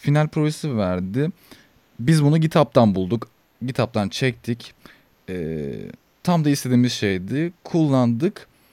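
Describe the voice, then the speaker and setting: With a dark, mellow tone at medium pitch, a man speaks at a fairly slow pace with long, frequent pauses and very wide pitch swings, in a dry, close sound with no echo. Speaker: student podcast host. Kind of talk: casual interview.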